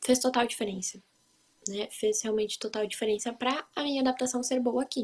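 A woman talks at a moderate pace with fairly even intonation. She has a plain, everyday voice. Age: 20s. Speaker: au pair. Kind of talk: casual interview chat.

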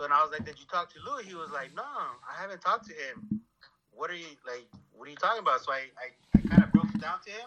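A man speaks very fast in a raised, projected voice, high in pitch, with very wide pitch swings and big swings in loudness. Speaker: caller. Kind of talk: casual chat. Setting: phone call.

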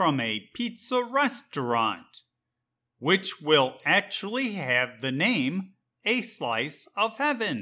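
Very slowly, a man with an American accent speaks in a raised, projected voice with a bright, sharp tone and very wide pitch swings. The recording is very clean, with a silent background. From Chicago, Illinois, US. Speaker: English teacher. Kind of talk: scripted narration. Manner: slow, clear.

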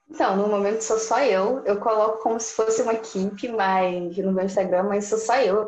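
A normal speaking voice from a woman, with fairly even intonation. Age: 20s. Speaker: business student and graphic designer running a consultancy. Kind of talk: interview.

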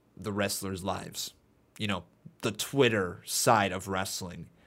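A man at a fairly slow pace in a very clean recording with a silent background. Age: 20s. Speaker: wrestling YouTuber and live streamer. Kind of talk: casual solo podcast monologue. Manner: rambling, tangential; halting, with frequent fillers.

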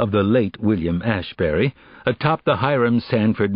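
Plain reading aloud makes up this recording.

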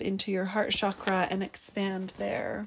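A woman speaks at medium pitch in a soothing, calm tone. Her intonation is flat and monotone, and the recording is very clean with a silent background. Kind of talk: guided meditation. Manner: slow, soft, soothing and calm, with gentle pauses.

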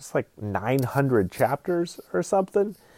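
Here a man talks with an American accent and lively intonation. The sound is dry and close, with no echo. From US South, Georgia. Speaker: podcast host, film editor. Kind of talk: casual solo monologue. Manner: rambling, hesitant with many fillers.

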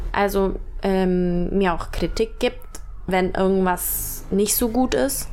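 Speaking very slowly at a medium pitch, a woman keeps very even loudness and ordinary pitch variation amid audible room echo. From Germany, Allgäu (Bavarian Swabia). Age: 20s. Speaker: model. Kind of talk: casual chat. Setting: sitting on a bed at home.

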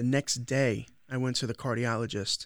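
Speaking in an American accent, a man holds a medium pitch with monotone, flat intonation. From Long Island, New York. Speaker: podcast host and social media creator. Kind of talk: casual chat.

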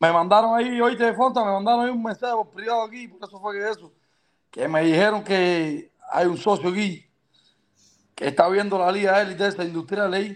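This man's high voice moves fairly quickly, its pitch rising and falling in an ordinary way. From Cuba. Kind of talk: casual chat.

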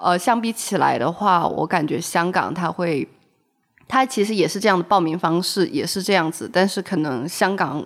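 A woman with a normal speaking voice talks at a moderate pace and fairly low pitch, using ordinary pitch variation. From Shenzhen, southern China. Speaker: graduate student and blogger. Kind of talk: casual chat.

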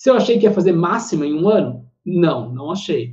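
A man is talking at a high pitch. His intonation is lively. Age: 20s. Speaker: financial analyst. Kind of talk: casual interview.

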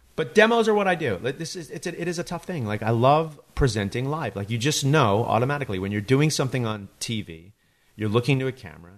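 A man at a fairly quick pace, with very wide pitch swings, against a quiet background. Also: hardly any pauses, big swings in loudness. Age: 40s. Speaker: podcast host. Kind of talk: casual chat.

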